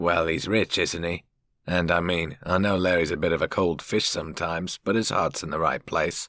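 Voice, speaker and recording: Doing a put-on character voice, a man sounds raspy and very deep, low in pitch, speaking in a monotone, flat way at a moderate pace, with a dry, close sound with no echo and a very clean recording, silent background. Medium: read story. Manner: casual, chatty.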